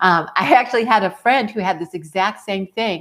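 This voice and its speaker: An animated tone comes through. The background is silent, and the recording is very clean. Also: woman. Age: 50s. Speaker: life coach vlogger. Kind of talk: casual monologue. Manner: halting.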